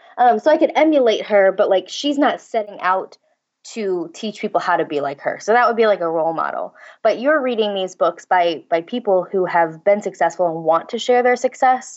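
With a Midwestern American accent, a woman talks at a fairly quick pace and a medium pitch, her pitch swinging very widely. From St. Louis, Missouri. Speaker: copywriter and blogger. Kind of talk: interview.

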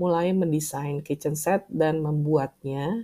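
Her pace stays fairly slow. The woman's tone is dark and mellow. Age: 40s. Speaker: podcast host, writer and language teacher. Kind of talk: solo podcast monologue.

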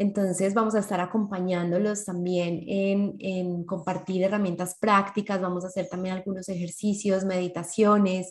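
A somewhat breathy woman's voice at a moderate pace, monotone and flat, with hardly any pauses. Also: medium pitch for a woman. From Colombia (Medellín). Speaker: podcast co-host. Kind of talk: casual chat.

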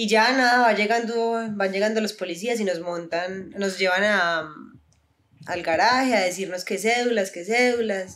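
A woman speaks in a normal speaking voice at a medium pitch. Her pace is fairly slow, and her pitch varies in an ordinary way. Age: 20s. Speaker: university student and influencer. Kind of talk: casual chat.

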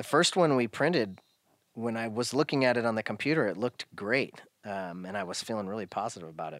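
A man speaks very fast at a medium pitch with lively intonation, the sound dry and close with no echo on a very clean recording with a silent background. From US Pacific Northwest, Oregon coast. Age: 40s. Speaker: firearms parts business owner. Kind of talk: casual interview. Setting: his garage workshop.

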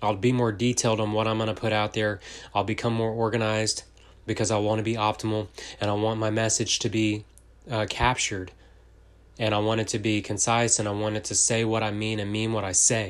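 With a Texan accent, a man speaks at a fairly quick pace in a fairly low pitch, his intonation monotone and flat. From Texas. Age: 30s. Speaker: entrepreneur and podcaster. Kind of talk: casual monologue. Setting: home office. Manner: fast.

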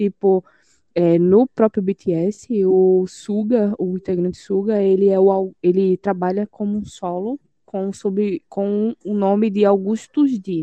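A woman at a medium pitch talks very slowly, keeping her intonation fairly even. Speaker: podcast co-host. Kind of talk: casual chat.

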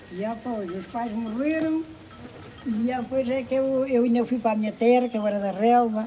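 Noticeable background noise runs under this recording. A woman with a fairly high pitch talks at a moderate pace with ordinary pitch variation. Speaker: elderly villager. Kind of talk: personal testimony.

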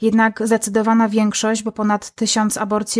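At a moderate pace, a woman speaks in a fairly high pitch, recorded very cleanly against a silent background with a dry, close sound and no echo. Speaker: podcaster and activist. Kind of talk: interview. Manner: halting with repetitions.

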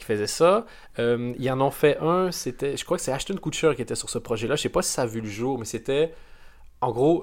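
Recorded very cleanly with a silent background, a man with a Canadian French accent speaks at medium pitch, his intonation lively and his loudness swinging widely. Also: moderate pace. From Canada. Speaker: podcast host. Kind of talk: casual chat.

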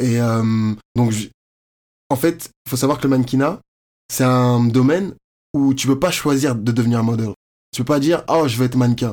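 At a moderate pace, a man with medium pitch and ordinary pitch variation keeps his loudness very even while taking long, frequent pauses. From France, Paris area (Courbevoie). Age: 20s. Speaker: fashion model and university student. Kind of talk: interview, casual chat.

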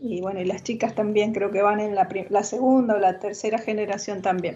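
The voice is monotone and flat, with noticeable background noise behind it. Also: woman. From Argentina, Mendoza. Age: 60s. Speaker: retired teacher and wine producer. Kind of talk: casual interview.

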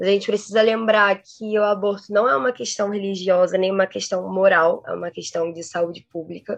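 With a normal speaking voice, a woman speaks at a medium pitch and a moderate pace. Her intonation is fairly even, with hardly any pauses. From Rio de Janeiro. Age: 20s. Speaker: international relations graduate and researcher. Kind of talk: interview.

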